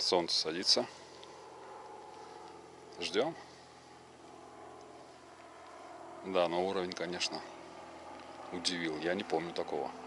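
The speech is fairly slow and monotone, with flat intonation and long, frequent pauses. The sound is dry with no echo, and background noise is noticeable. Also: man, very deep, low pitch for a man. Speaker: angler vlogger. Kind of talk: casual vlog chat. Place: waterside. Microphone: phone near.

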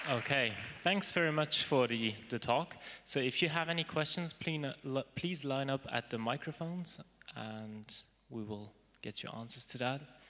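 Bright, sharp tone from a man at medium pitch, with ordinary pitch variation, few pauses and a moderate pace.

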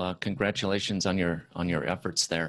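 Over a quiet background, a man speaks with a dry sound and no echo. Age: 50s. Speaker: podcast host. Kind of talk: interview. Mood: warm, polite. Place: office. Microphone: handheld.

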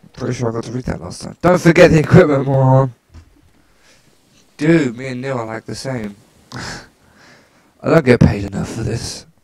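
A man talks at a moderate pace with long, frequent pauses. His pitch is medium, his tone slightly mellow, and his pitch variation ordinary.

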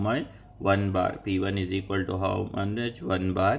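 A man is heard here. His voice sits at a fairly low pitch. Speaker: engineering teacher. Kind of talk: tutorial. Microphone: phone near.

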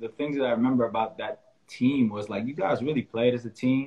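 Someone with an American accent speaks at a fairly quick pace. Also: man. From upstate New York (Albany); New York. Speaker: podcast host, basketball coach. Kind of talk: interview. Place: home room. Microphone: video call.

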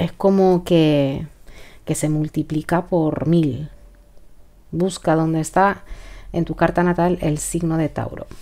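Very slowly and with long, frequent pauses, a woman talks at a fairly low pitch in a dark, mellow tone. Her intonation is flat and monotone. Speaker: tarot reader. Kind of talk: tarot reading.

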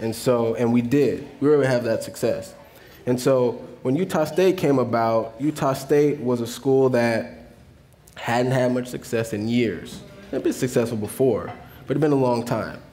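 A man speaks at a moderate pace, his pitch shifting by an ordinary amount. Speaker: guest. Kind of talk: interview answer. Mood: relaxed, reflective. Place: stage.

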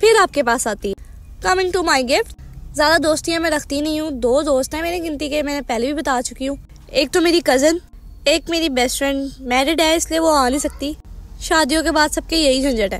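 Moderately paced woman's voice, high in pitch, with ordinary pitch variation. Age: 20s. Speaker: vlogger. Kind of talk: casual vlog narration.

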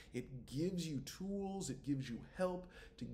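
A man's dark, mellow, somewhat breathy voice with very wide pitch swings and a fairly slow pace. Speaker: high school teacher. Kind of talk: recorded class instructions.

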